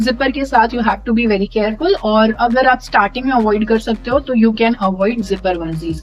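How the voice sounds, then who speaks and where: With music playing behind her, a woman talks at a fairly high pitch. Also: ordinary pitch variation, hardly any pauses. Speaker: vlogger, new mother. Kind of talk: casual vlog tutorial. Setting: at home, late night. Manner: casual with fillers; softer, quieter at night.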